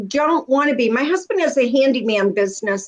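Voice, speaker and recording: A high-pitched woman with very wide pitch swings. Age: 70s. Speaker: home stager and educator. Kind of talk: casual chat.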